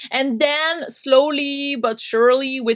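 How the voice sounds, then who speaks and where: A woman speaks with a Quebec accent. The background is quiet. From Quebec, French Canada. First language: French. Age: 30s. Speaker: punk radio host and podcaster. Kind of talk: interview conversation.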